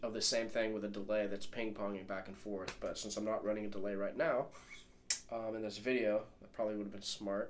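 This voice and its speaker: A man talks at a fairly low pitch. Noticeable background noise runs behind him. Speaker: guitarist, gear demo creator. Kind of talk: casual talk to camera. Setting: home studio.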